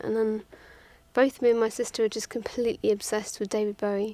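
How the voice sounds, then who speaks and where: Speaking very fast with an English accent, a woman keeps a flat monotone in a dark, mellow, fairly high-pitched voice. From England, Twickenham near London. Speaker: musician. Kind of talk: interview. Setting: studio.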